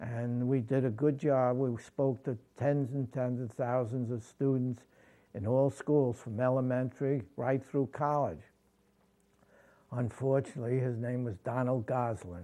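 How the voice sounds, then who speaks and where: A man speaks with a New York accent in a dark, mellow tone. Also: medium pitch for a man, fairly even intonation, fairly slow pace. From New York City (Brooklyn). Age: 80s+. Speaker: war veteran. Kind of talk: interview testimony. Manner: halting.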